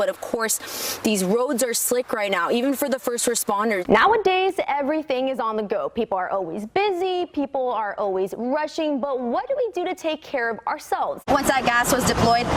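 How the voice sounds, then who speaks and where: A woman speaks at a moderate pace in a high voice with very wide pitch swings, over noticeable background noise. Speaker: television news reporter. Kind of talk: live shots and stand-ups, on location.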